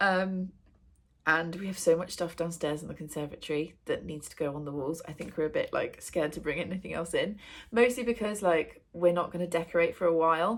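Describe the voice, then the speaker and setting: With an English accent, a woman talks at a fairly quick pace in a fairly low pitch, showing ordinary pitch variation and big swings in loudness. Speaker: book vlogger. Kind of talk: casual vlog chat. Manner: casual, with many fillers.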